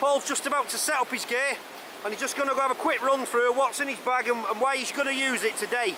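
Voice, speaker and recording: Very fast speech over noticeable background noise. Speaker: vlogger. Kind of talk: outdoor vlog chat. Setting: outdoors by a waterfall. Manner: loud. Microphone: camera mic with DIY muffler.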